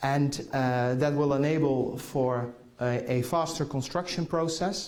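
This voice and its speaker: A man with a Dutch accent speaks at a fairly slow pace in a fairly high pitch, his intonation fairly even and his loudness very even, with audible room echo and noticeable background noise. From Netherlands. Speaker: conference keynote speaker. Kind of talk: keynote talk. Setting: conference hall with audience. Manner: halting, many fillers.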